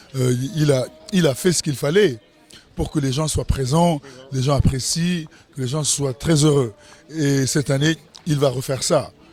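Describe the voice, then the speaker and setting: Music plays in the background as a man with a fairly high pitch and ordinary pitch variation talks at a moderate pace. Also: long, frequent pauses. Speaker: festival organizer. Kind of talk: event interview. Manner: animated.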